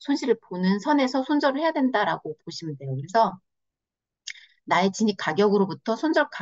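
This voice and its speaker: A woman speaks at a fairly quick pace. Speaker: trading instructor. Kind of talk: online lecture. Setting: video call. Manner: many filler pauses; stumbling over words.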